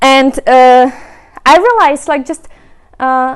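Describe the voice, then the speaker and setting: Lively intonation from a woman with a Czech accent at a fairly slow pace. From Czech Republic. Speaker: remote work advocate and speaker. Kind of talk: presentation.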